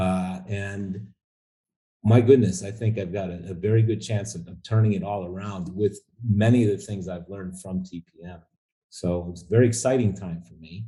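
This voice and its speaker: A man with a fairly low pitch and a dark, mellow, somewhat breathy tone speaks at a moderate pace, with fairly even intonation and big swings in loudness. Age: 60s. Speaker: coaching program client. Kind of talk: interview. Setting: call. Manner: halting.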